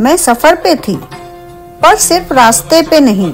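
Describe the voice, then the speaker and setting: Over background music, a woman speaks at a high pitch with very wide pitch swings. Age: 50s. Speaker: travel vlogger. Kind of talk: scripted narration.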